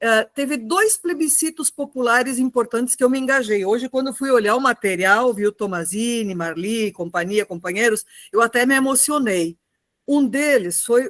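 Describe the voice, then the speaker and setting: Here is an ordinary speaking voice with lively intonation at a moderate pace. The sound is dry and close, with no echo. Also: woman. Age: 60s. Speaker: retired teacher and union activist. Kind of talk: online political talk.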